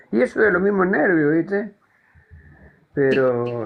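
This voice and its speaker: With a Buenos Aires accent, a man speaks in a fairly high voice with lively intonation. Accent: Rioplatense Spanish (Buenos Aires). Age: 70s. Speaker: caller in a live political discussion. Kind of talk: casual chat.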